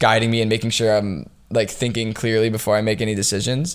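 A man with an ordinary speaking voice, medium pitch, and an American accent, at a fairly quick pace. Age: 20s. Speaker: entrepreneur. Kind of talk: casual interview.

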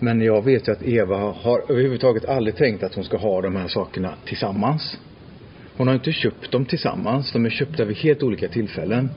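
At a fairly quick pace, an ordinary speaking voice talks. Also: man, medium pitch for a man, ordinary pitch variation. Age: 40s. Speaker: podcast host. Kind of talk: casual chat.

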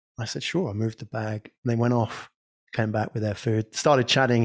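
On a very clean recording with a silent background, a man speaks at medium pitch and a fairly quick pace. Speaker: podcast agency owner. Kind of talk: casual chat.

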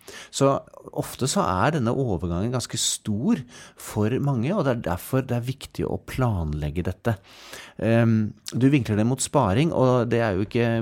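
Over a silent background in a very clean recording, a man with an ordinary speaking voice talks at a moderate pace in a medium pitch with lively intonation. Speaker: pension economist. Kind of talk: casual interview about finance. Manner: jovial, laughs often.

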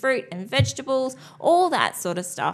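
With an Australian accent, a woman at a fairly high pitch speaks at a moderate pace, her pitch swinging very widely. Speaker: podcast co-host. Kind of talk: casual chat.

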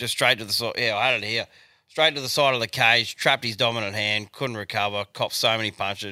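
A man speaks at a fairly quick pace with a bright, sharp tone and fairly even intonation. The recording is very clean and silent in the background, with a dry, close sound and no echo. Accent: Australian. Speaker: podcast co-host. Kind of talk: casual chat.

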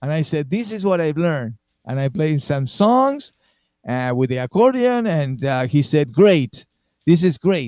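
With an Argentine accent, this man has a fairly high pitch, a dark, mellow tone and very wide pitch swings. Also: fairly slow pace. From Argentina. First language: Spanish. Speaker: musician. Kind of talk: interview. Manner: animated.

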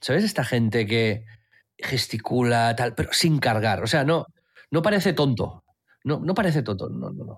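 Lively, somewhat breathy male voice at medium pitch and moderate pace, very clean recording with a silent background. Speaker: podcast co-host. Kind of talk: casual chat.

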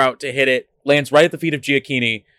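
Bright and sharp in tone, a man's voice comes at a fairly quick pace with fairly even intonation, the sound dry and close with no echo. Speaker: podcast co-host. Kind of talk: casual chat. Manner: jokey.

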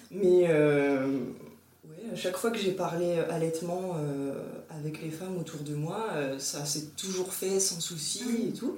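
A woman speaks very slowly with a fairly low pitch and ordinary pitch variation. Audible room echo and noticeable background noise are present. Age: 30s. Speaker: breastfeeding mother sharing her experience. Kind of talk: casual interview testimony. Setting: recorded at the host's home.

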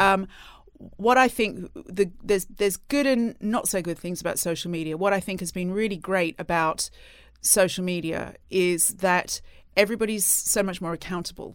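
A woman with an unremarkable speaking voice, medium pitch and ordinary pitch variation, at a moderate pace, on a very clean recording with a silent background. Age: 40s. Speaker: magazine editor. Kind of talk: interview.

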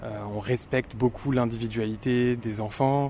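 Speaking very slowly, a man holds a medium pitch with monotone, flat intonation. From Paris and inner suburbs, France. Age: 30s. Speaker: French teacher. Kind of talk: interview.

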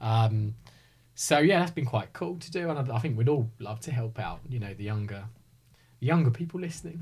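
With a southern English accent, a man of medium pitch talks fairly quickly and sounds somewhat breathy. His intonation is lively. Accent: southern English, slight rising intonation. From Hertfordshire, England. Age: 30s. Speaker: real estate advisor. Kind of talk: casual chat.

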